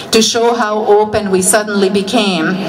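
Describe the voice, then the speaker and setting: With a Hungarian accent, the speaker talks at a fairly slow pace in a monotone, flat intonation, with audible room echo and noticeable background noise. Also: woman. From Hungary. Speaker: political rally speaker. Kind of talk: rally speech.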